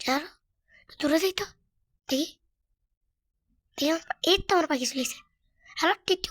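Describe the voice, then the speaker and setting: A woman speaks in an extremely high pitch with ordinary pitch variation. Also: dry, close sound with no echo. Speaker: gaming streamer. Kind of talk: gameplay commentary. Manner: animated.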